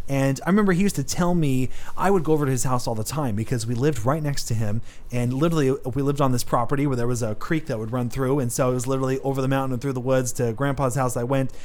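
A man speaks at a very fast pace with a medium pitch. His pitch varies in an ordinary way, and room echo is audible. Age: 20s. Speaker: faith podcast host. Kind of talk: casual faith chat.

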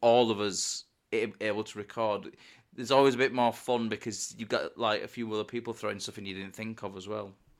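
A man talks fairly quickly at a medium pitch in a normal speaking voice. The recording is very clean, with a silent background. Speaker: podcast co-host. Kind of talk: casual podcast chat.

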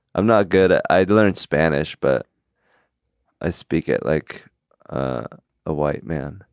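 Vocal fry and a slight Korean accent mark this fairly slow, lively-toned speech with long, frequent pauses in a dry, close sound with no echo. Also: man, very deep, low pitch for a man. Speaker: comedian. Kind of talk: casual chat. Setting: studio. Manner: occasionally halting, searches for words.

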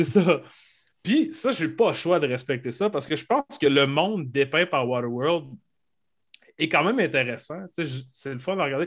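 A man speaks at a fairly high pitch and a moderate pace with lively intonation. His speech has long, frequent pauses. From Quebec, Saguenay (Arvida). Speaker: podcast co-host. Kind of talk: casual chat.

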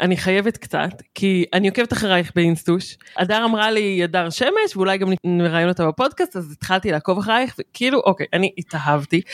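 Heard in a normal speaking voice at a moderate pace, the speech has a dry, close sound with no echo. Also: woman, very clean recording, silent background. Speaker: podcast co-host. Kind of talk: casual chat.

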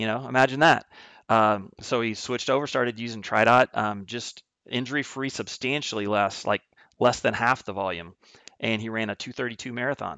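A man at a fairly quick pace, with a bright, sharp tone, medium pitch and ordinary pitch variation, over a quiet background. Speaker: triathlon coach and company executive. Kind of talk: casual interview.

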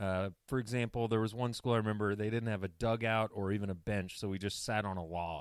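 Using a normal speaking voice, a man with a fairly low pitch talks at a fairly quick pace with hardly any pauses. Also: fairly even intonation. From US South, Atlanta, Georgia. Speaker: sports podcast co-host. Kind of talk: casual chat.

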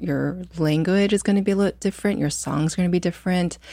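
In a very clean recording with a silent background, a woman with a Midwestern US accent speaks with ordinary pitch variation. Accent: General American (Midwestern). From US Midwest (Muncie, Indiana). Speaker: fashion designer. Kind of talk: interview conversation.

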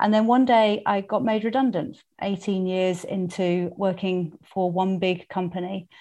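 A woman with a British accent talks at a fairly slow pace, her medium-pitched voice dark and mellow in tone. Her intonation stays fairly even, she hardly pauses, and the background is quiet. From UK. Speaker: company co-founder. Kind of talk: interview conversation.

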